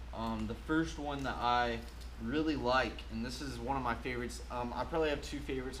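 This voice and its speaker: An energetic man at a moderate pace, audible room echo around him. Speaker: fishing tackle youtuber. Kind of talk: casual product review video. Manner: loud; energetic, filler-heavy.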